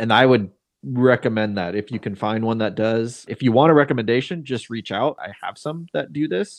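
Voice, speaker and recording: With ordinary pitch variation and a moderate pace, a normal speaking voice is heard. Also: man, medium pitch for a man. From Seattle. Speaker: podcast host and real estate agent. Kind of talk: casual chat.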